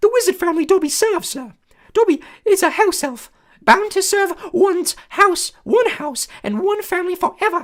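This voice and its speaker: With a squeaky, extremely high pitch, a put-on character voice moves along at a moderate pace. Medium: read story. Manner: speaks of himself in third person, says sir.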